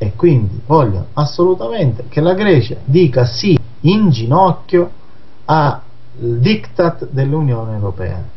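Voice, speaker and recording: A man at a medium pitch, very wide pitch swings, and a fairly slow pace. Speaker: magazine director and anti-mafia activist. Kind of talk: radio interview discussing politics.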